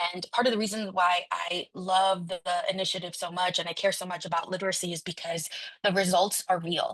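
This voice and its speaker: A woman of medium pitch with a Spanish accent, at a fairly quick pace, monotone and flat. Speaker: city council member. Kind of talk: conference speech. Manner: halting, many fillers.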